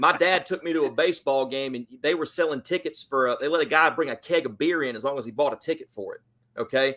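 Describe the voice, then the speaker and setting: A man with an American accent speaks at a fairly quick pace with lively intonation. His tone is bright and sharp, and the recording is very clean with a silent background. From US South, Georgia. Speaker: football fan guest. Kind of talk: casual chat. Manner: animated.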